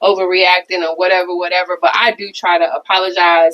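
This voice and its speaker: A woman speaking at a fairly quick pace. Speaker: podcast co-host. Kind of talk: casual chat.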